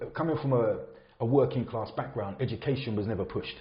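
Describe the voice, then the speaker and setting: Very fast speech from a man with an English accent and ordinary pitch variation. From England, Luton. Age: 50s. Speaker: builder sharing his conversion story. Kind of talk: podcast interview, personal story. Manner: casual, conversational.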